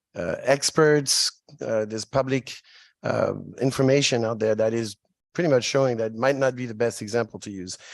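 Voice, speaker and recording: In a French accent, a man talks at a fairly quick pace with ordinary pitch variation, his sound dry and close with no echo against a quiet background. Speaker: state legislator. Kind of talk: legislative hearing questioning. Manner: halting.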